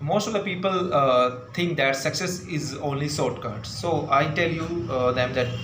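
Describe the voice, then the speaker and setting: A man with an Indian accent speaks in a fairly high pitch with lively intonation over noticeable background noise. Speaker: English tutor. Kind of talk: casual talk to camera.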